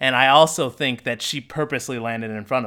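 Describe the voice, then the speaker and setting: A man's bright, sharp voice at a moderate pace on a very clean recording with a silent background. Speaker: podcast co-host. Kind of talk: casual chat.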